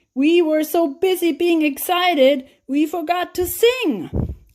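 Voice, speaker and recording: A woman's put-on character voice, extremely high-pitched and fairly slow. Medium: read story. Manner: cheerful, bouncy.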